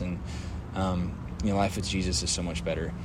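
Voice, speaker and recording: A man speaks at a fairly quick pace with an American accent. Noticeable background noise and audible room echo are present. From Texas, Dallas. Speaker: podcast co-host. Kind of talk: casual chat.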